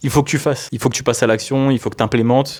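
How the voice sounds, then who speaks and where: A man with a rather high voice rattles off his words extremely fast. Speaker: personal development youtuber. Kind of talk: casual improvised monologue to camera. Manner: loud; casual, hesitant with fillers.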